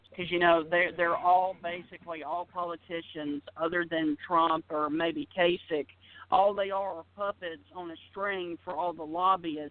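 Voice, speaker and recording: A man with an Alabama accent speaks slowly-ish, at a fairly slow pace, with a high pitch and fairly even intonation. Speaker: sports radio personality. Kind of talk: interview.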